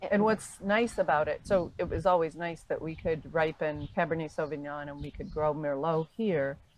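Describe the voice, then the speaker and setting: A woman's very deep, low voice with an American accent, at a moderate pace with hardly any pauses. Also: ordinary pitch variation. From Binghamton, upstate New York. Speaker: retired winery owner, former lawyer. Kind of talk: oral history interview.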